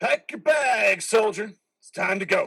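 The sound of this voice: Putting on a character voice, a man talks at a fairly slow pace in a high pitch with lively intonation, a fairly bright tone, vocal fry and a slightly husky edge.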